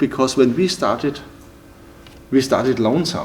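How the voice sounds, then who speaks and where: A man speaks with a German accent. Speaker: timber building entrepreneur. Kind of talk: interview. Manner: halting, with many repetitions and fillers.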